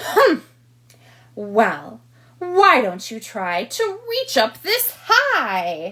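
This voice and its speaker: In a put-on character voice with a high pitch, a woman speaks at a very slow pace, with big swings in loudness and long, frequent pauses. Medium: read story.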